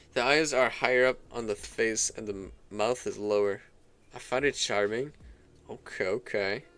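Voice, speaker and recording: Music plays behind a man speaking at a moderate pace. His medium-pitched voice keeps a fairly even intonation. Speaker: gaming and art streamer. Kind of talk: casual live stream chat. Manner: hesitant, many fillers.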